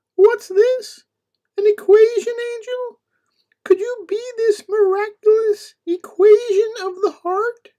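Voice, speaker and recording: A woman puts on a cartoonish character voice that is squeaky and extremely high, speaking fairly slowly with flat, monotone intonation and big swings in loudness. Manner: melodramatic, punning.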